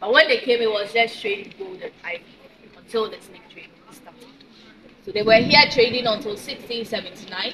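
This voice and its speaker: Amid noticeable background noise, a woman speaks at a fairly quick pace in a fairly high voice. Her pitch varies in an ordinary way while her loudness swings a lot. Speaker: tour guide. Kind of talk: guided tour explanation. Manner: fast.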